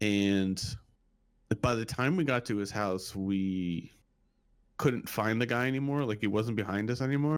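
On a very clean recording with a silent background, a man with a fairly low pitch speaks at a moderate pace, using ordinary pitch variation and long, frequent pauses. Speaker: guest. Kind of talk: casual chat.

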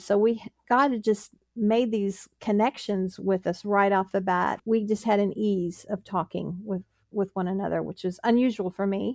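A woman with a plain, everyday voice speaks at a moderate pace and medium pitch against a quiet background, the sound dry and close with no echo. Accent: American. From US, Pittsburgh, Pennsylvania. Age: 60s. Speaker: engineer and ministry volunteer. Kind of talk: interview testimony.

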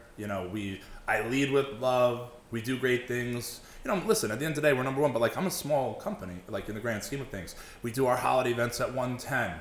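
A man talks at a fairly quick pace in a medium pitch with ordinary pitch variation. Noticeable background noise runs underneath. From Long Island, New York. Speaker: mortgage broker and business owner. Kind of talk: casual interview chat. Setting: podcast studio.

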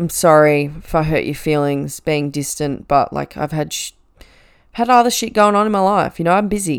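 A woman's fairly low voice with an Australian accent, moderate pace and ordinary pitch variation. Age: 20s. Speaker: podcast host and nurse. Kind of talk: casual monologue.

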